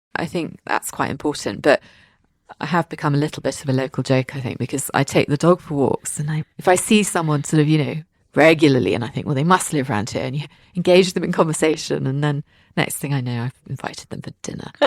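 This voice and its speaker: A woman at a very deep, low pitch talks at a very fast pace with ordinary pitch variation, in a dry, close sound with no echo. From South Africa and UK. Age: 50s. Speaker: guest sharing a life-change story. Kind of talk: casual interview chat.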